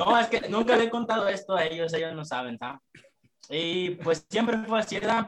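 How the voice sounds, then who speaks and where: Lively intonation marks this man's delivery. His pitch is high and his pace moderate. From Mexico, Michoacán (Jacona). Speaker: rapper. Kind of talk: casual chat.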